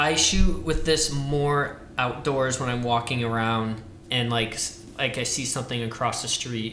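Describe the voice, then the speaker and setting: A man with an American accent speaks at a fairly slow pace in a medium pitch, his intonation fairly even, with audible room echo and noticeable background noise. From Ohio. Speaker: film lab worker. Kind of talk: casual chat.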